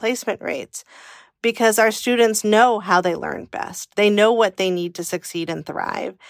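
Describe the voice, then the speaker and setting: A woman with an American accent speaks at a medium pitch and a moderate pace, her intonation fairly even. The very clean recording has a silent background and a dry, close sound with no echo. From California. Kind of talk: casual chat.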